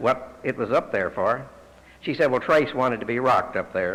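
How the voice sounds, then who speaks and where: With a Texan accent, a man talks at a moderate pace and medium pitch, using ordinary pitch variation. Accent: Texan US Southern. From Texas, Fort Worth. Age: 60s. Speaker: AA speaker. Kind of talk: testimony.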